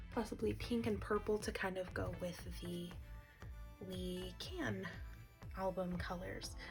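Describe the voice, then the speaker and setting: A woman speaking at a very slow pace, with music in the background. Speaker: ASMR creator. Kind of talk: ASMR coloring commentary. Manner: soft-spoken.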